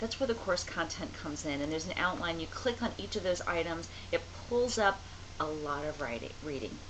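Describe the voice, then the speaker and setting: At a fairly quick pace, a woman's pitch swings very widely, with audible room echo and noticeable background noise. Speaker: college writing instructor. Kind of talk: online course video lecture. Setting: home office, on camera. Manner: fast; casual, conversational.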